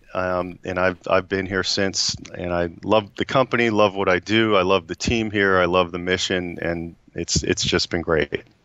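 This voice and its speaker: With hardly any pauses, a man talks at a moderate pace in a very deep, low pitch and fairly even intonation, the sound dry with no echo against a quiet background. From US Northeast. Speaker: HR executive; guest. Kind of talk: interview. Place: office. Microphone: video call.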